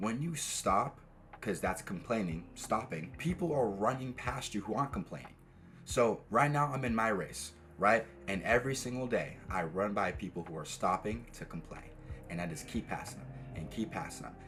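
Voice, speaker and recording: With an American accent, a man speaks at a fairly low pitch and a moderate pace. His voice shows vocal fry and very wide pitch swings. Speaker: dating and self-improvement coach. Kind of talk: motivational talk to camera. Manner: rolls some words too much.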